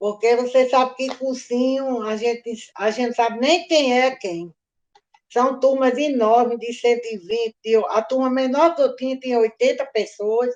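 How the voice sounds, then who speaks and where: Her intonation fairly even, a woman speaks fairly slowly in a high voice. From Natal, Rio Grande do Norte, Brazil. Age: 70s. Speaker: retired history teacher. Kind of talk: oral history interview. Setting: video call. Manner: loud.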